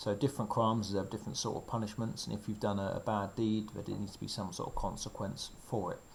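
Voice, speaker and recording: A man speaks very fast with hardly any pauses, his pitch fairly low and his voice somewhat breathy. The intonation stays fairly even, and the room echo is audible. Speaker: secondary school RS teacher. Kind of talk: revision lecture. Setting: recorded video lesson during lockdown. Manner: casual with fillers.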